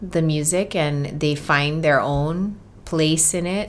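With a Hawaiian accent, a woman talks at a fairly low pitch and uses ordinary pitch variation. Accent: Hawaii English. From Hawaii (Oahu). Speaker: musician. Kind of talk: casual chat.

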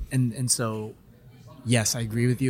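Music plays in the background. Over it, a man talks in an American accent. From Los Angeles, US. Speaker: guest co-taster. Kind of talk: casual chat. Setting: live event on site.

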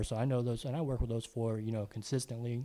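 This man has an American accent and a dark, mellow tone, delivered in a monotone, flat intonation. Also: very clean recording, silent background. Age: 30s. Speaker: comedian. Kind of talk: casual chat.

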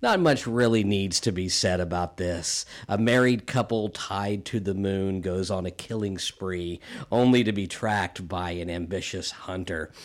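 Fairly low-pitched male speech at a moderate pace, in a very clean recording with a silent background. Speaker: podcast creator and director. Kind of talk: podcast intro, upbeat promo. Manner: enthusiastic, upbeat.

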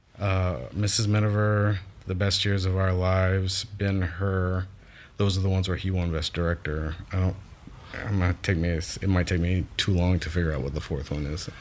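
Here a man speaks in a very deep, low voice. His pace is moderate and his intonation fairly even. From south Louisiana bayou, Lafourche Parish. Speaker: extras casting director. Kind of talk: casual chat.

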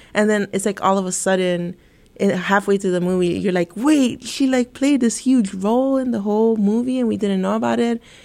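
A woman with an American accent speaks at a moderate pace in a plain, everyday voice, at medium pitch with ordinary pitch variation, on a very clean recording with a silent background. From Santa Ana, California. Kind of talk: casual academic discussion. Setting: studio.

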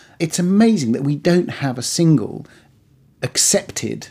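A man speaks in a dark, mellow tone. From Iran, raised in Britain from age ten. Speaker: professor. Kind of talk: conversational discussion.

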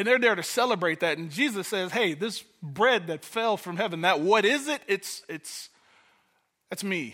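A man with an American accent speaks in a high, raised, projected voice with a bright, sharp tone and lively intonation. His pace is moderate on a very clean recording with a silent background. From Detroit, US. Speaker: pastor. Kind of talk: sermon. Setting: church.

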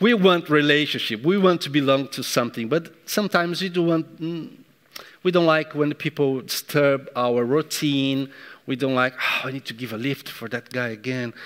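With a non-native accent, a man speaks at a moderate pace in a fairly high voice with ordinary pitch variation. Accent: foreign accent, non-native English. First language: not English. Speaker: pastor, church leader. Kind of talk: sermon. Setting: church service, also streamed on YouTube. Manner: animated, warm.

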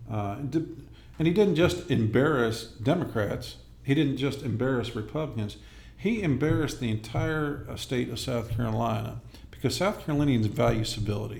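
Amid audible room echo, a man speaks at a moderate pace and medium pitch with ordinary pitch variation and vocal fry. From Los Angeles area, California. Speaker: congressional candidate, army veteran. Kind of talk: interview.

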